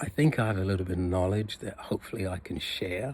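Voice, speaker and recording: A somewhat breathy man's voice, fairly low in pitch with ordinary pitch variation, in a very clean recording with a silent background. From UK and Jamaica (teens in Jamaica). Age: 60s. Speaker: personal trainer, fitness vlogger. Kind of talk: casual vlog monologue. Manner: halting, many fillers.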